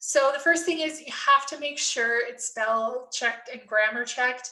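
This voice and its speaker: In a Canadian accent, the voice has a bright, sharp tone and ordinary pitch variation, moving at a moderate pace with big swings in loudness. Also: woman, high pitch for a woman. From Canada. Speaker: nursing professor. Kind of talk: tutorial. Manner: casual, conversational.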